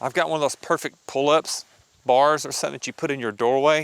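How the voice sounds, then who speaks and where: A man speaks with a Southern US accent, a medium pitch, and a bright, sharp tone. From Arkansas. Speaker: personal trainer. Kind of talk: casual vlog talk to camera.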